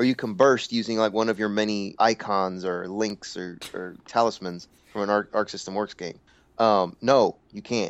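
With an unremarkable speaking voice, a man talks at a moderate pace, his pitch fairly low and his intonation fairly even. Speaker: fighting game podcast co-host. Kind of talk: angry comedic rant about scrub players.

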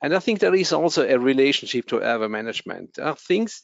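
A man speaks at a moderate pace with a German accent. His pitch is medium. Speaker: anesthesiology professor. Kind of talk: interview. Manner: halting.

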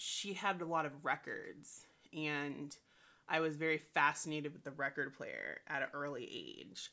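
With an American accent, a woman speaks at a fairly slow pace, leaving long, frequent pauses and making big swings in loudness. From US South, Saint Petersburg, Florida. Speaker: musician and multimedia artist. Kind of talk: interview. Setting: remote call.

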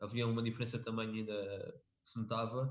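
A man at a medium pitch, fairly quick pace and monotone, flat intonation. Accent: European Portuguese. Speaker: MMA podcast co-host. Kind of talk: casual chat.

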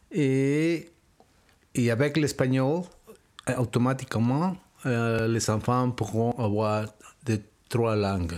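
A man with a Spanish accent and medium pitch talks at a very slow pace, with long, frequent pauses. His loudness stays very even, and his pitch varies in an ordinary way. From Mexico City. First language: Spanish (speaking French). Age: 60s. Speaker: interviewee, father. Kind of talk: interview. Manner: halting.

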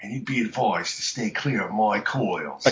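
A man puts on a character voice, holding a medium pitch and a moderate pace. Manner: menacing.

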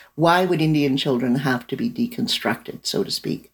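The speaker has a Canadian accent. The pace is moderate and the intonation lively. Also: woman. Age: 60s. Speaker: novelist and lawyer. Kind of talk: interview. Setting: remote call.

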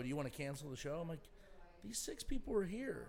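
A man with an American accent, very fast and lively in intonation, with audible room echo. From Indianapolis, Indiana, US Midwest. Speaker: stand-up comedian. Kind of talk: casual chat.

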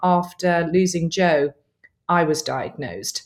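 A woman talks in a southern English accent. The recording is very clean, with a silent background. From southern England. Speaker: author and church planter. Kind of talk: casual interview chat.

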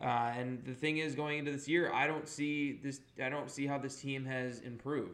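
Fairly high in pitch, a man talks at a moderate pace in a monotone, flat intonation. Audible room echo surrounds the voice. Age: 20s. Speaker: sports podcast host. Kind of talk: casual chat.

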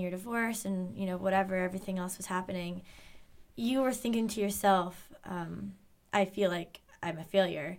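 A woman with an unremarkable speaking voice talks at a moderate pace, at a medium pitch, with ordinary pitch variation. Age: 20s. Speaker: podcast guest, recent graduate. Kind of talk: casual interview chat. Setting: studio.

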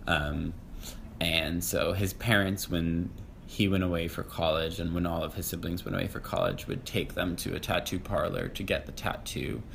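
Amid audible room echo, a man with an American accent speaks at a moderate pace with a very deep, low pitch and fairly even intonation. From Massachusetts. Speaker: podcast guest, playwright. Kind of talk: casual interview.

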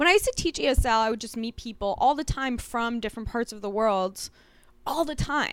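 A woman with an unremarkable speaking voice talks at a fairly quick pace, fairly high in pitch, with lively intonation and big swings in loudness, in a very clean recording with a silent background. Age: 40s. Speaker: comedian and podcast co-host. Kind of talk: casual chat.

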